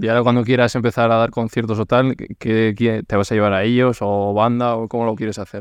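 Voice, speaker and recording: Against a quiet background, a man with a medium pitch talks at a fairly quick pace in a monotone, flat intonation, with a dry, close sound and no echo. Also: hardly any pauses. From Basque Country. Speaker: podcast host. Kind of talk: casual interview.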